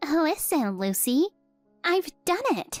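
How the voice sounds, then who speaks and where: A woman puts on a character voice, extremely high in pitch with very wide swings. Faint music plays in the background. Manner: happy, excited.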